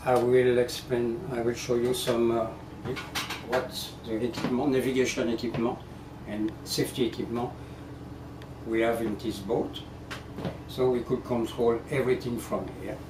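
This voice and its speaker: With a French accent, the speaker talks at a fairly slow pace in a monotone, flat delivery with long, frequent pauses and audible room echo. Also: man. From France. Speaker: ship captain. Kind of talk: guided tour explanation. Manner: halting.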